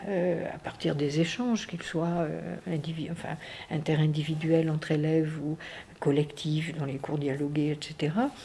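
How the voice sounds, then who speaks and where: Over noticeable background noise, a woman with a slight southwestern French accent speaks fairly slowly in a very deep, low pitch with fairly even intonation. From southwestern France. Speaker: education researcher and professor. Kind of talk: research interview. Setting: interview recorded in Paris. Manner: hesitant, many fillers.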